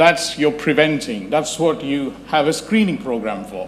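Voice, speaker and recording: A man speaks at a fairly high pitch with very wide pitch swings. There is audible room echo and noticeable background noise. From India, Chennai. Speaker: gastroenterologist, endoscopist. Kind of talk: talk at a public health awareness event.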